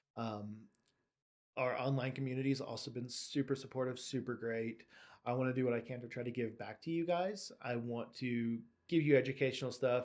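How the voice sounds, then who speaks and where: A man talks at a fairly quick pace and medium pitch, with fairly even intonation, on a very clean recording with a silent background. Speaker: bike shop owner and YouTuber. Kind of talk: casual vlog monologue. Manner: monotone; occasionally stumbles over words.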